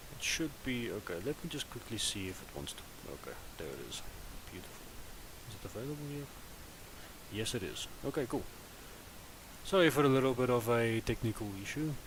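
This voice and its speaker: Speaking at a fairly quick pace with a non-native accent, a man at medium pitch leaves long, frequent pauses and makes big swings in loudness. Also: lively intonation. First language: not English. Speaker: gaming live streamer. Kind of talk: live stream gameplay chat. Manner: casual, hesitant.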